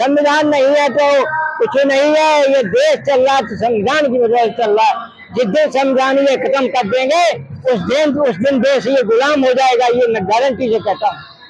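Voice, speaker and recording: Over noticeable background noise, a man talks at a moderate pace in an extremely high pitch with ordinary pitch variation. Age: 70s. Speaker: rally participant. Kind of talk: street interview.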